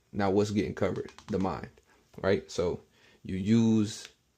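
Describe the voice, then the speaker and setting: Over a quiet background, a man speaks at a moderate pace with a fairly low pitch and vocal fry. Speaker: bible language teacher. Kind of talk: casual tutorial.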